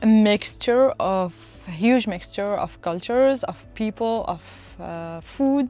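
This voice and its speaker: A woman's fairly high voice with a French accent and lively intonation at a very slow pace, with music in the background. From France. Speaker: traveler. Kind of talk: casual interview. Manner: halting, with many fillers.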